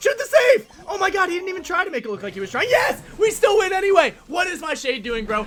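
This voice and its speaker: Amid noticeable background noise, a man speaks at a very fast pace with very wide pitch swings. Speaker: gaming YouTuber. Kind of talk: live gameplay commentary. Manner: animated.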